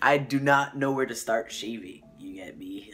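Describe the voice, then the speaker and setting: A man whispering, with audible room echo and music in the background. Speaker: vlogger documenting transition. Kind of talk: casual vlog update. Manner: casual, filler-heavy.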